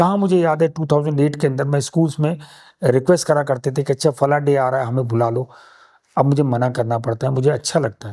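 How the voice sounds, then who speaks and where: A man speaks at a moderate pace in a dark, mellow tone with a fairly high pitch and ordinary pitch variation. The recording is very clean, with a silent background. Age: 60s. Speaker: conservationist and nest maker, former filmmaker. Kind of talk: interview conversation.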